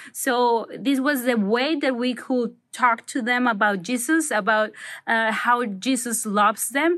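A woman at a high pitch with a Spanish accent, speaking at a fairly slow pace with ordinary pitch variation, very even loudness and a quiet background. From Mexico, Manzanillo. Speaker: doctor. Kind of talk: recorded testimony.

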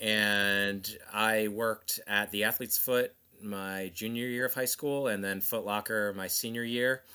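A man with an American accent, fairly low in pitch for a man, with a bright, sharp tone, fairly even intonation, a fairly slow pace and hardly any pauses, on a very clean recording with a silent background. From US Northeast, South Jersey. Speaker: former sneaker Instagram account creator. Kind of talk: interview conversation.

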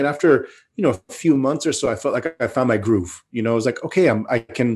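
The recording is very clean, with a silent background. A man with an American accent speaks at a very fast pace. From California, Bay Area and Sacramento. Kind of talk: interview storytelling. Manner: repeats words, halting restarts.

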